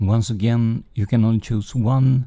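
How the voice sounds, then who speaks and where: A man with a Swedish accent speaks very slowly in a medium-pitched, somewhat breathy voice, dark and mellow in tone, with fairly even intonation. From Sweden. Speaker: gaming streamer. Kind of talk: live game stream commentary. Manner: halting, many fillers.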